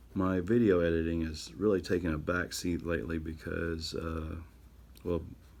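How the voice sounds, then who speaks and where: Speaking at a moderate pace, a man with a very deep, low pitch keeps his intonation fairly even against audible room echo. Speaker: artist and YouTuber. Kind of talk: casual narration while drawing. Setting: home studio, camera audio. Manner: halting.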